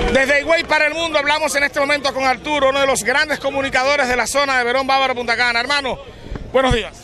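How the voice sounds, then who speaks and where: Over noticeable background noise, a man with an extremely high pitch speaks very fast in a raised, projected voice, his loudness very even and the sound dry with no echo. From Dominican Republic. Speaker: local TV reporter. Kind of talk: on-location news report. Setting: outdoors at a protest march. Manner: animated. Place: street. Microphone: handheld.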